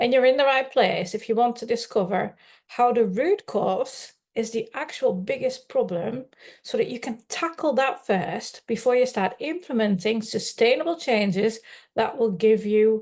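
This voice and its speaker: At a fairly slow pace, a woman talks with ordinary pitch variation over a quiet background. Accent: Dutch. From Netherlands. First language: Dutch. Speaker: life coach. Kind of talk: live webinar presentation. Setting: live online stream.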